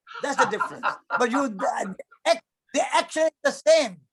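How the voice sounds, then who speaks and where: A man's voice, dry and close, with no echo. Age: 80s. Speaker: activist and former monk. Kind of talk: interview answer.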